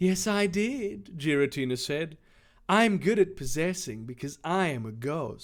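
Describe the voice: Lively intonation over plain reading aloud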